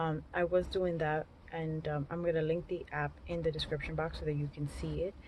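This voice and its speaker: A woman speaks with fairly low pitch and a somewhat breathy voice. Her intonation stays fairly even. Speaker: beauty and surgery vlogger. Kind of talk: casual Q&A vlog. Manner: fast; chatty, informal.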